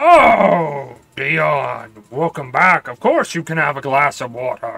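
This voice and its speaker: A man speaks in a put-on character voice with a fairly high pitch. His pace is fairly slow. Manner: welcoming.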